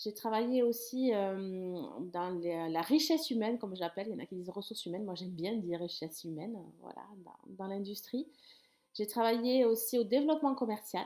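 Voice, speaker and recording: This speaker with a Toulouse accent has a dark, mellow tone, talks at a fairly quick pace with lively intonation, and makes big swings in loudness. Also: woman, fairly high pitch for a woman. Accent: southern French (Toulouse), sing-song. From southern France, Toulouse. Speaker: sex therapist and life coach. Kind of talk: talking-head explainer video. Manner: casual, with frequent hesitations.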